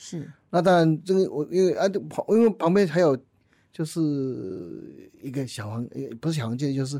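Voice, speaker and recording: In a very clean recording with a silent background, a man with a fairly high pitch and a dark, mellow tone talks at a fairly slow pace with lively intonation. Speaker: company chairman. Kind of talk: interview. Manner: halting, many fillers.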